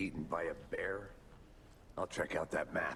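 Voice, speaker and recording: A man growls in a put-on character voice at a moderate pace. Clear background noise runs underneath. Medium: video game. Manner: dry, understated.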